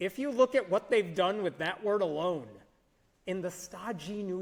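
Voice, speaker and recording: This man has a high voice and an American accent. He talks at a fairly slow pace with lively intonation. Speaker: speaker at atheist conference. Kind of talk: conference talk.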